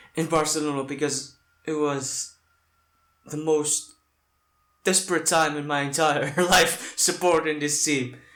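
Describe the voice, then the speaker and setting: A man with a non-native accent and fairly high pitch speaks at a very slow pace amid audible room echo. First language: not English. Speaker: football fan reactor. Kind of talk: reaction video. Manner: halting.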